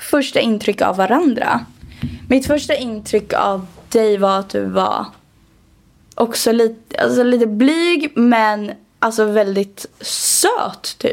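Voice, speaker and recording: Pausing long and often, a woman speaks at a very slow pace with a fairly high pitch and ordinary pitch variation. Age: 20s. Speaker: podcast co-host and TikTok creator. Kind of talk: casual chat.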